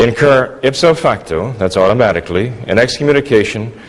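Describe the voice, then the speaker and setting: Over noticeable background noise, a man talks at a fairly quick pace, his medium pitch carried by lively intonation. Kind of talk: formal debate.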